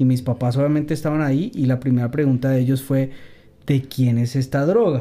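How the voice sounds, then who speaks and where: A man's medium-pitched voice with a dark, mellow tone, fairly even intonation and a fairly quick pace. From Colombia, Bogotá. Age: 30s. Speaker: rapper. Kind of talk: testimony.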